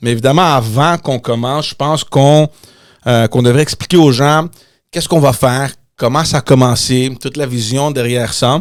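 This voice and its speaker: Over a silent background in a very clean recording, a man with an English accent speaks at a moderate pace. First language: English (speaking French). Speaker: podcast host, former politician. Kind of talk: casual chat. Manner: halting, repeats words.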